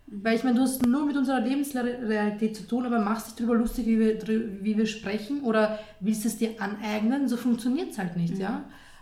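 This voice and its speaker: A woman with a fairly high pitch speaks at a fairly quick pace with hardly any pauses, fairly even intonation, and big swings in loudness. Audible room echo and noticeable background noise are present. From Austria, Lower Austria. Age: 20s. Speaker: journalist and columnist. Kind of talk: interview.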